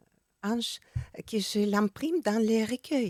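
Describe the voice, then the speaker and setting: A woman at a very slow pace, fairly high in pitch with ordinary pitch variation, in a dry, close sound with no echo. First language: Russian or Ukrainian (speaking French). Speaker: poet and singer-songwriter. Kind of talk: radio interview. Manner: halting, hesitant.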